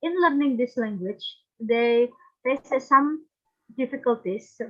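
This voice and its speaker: A woman speaks at a high pitch with an Indonesian accent. Her pace is fairly slow and her pitch variation is ordinary. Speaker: conference presenter. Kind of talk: academic presentation. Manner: halting.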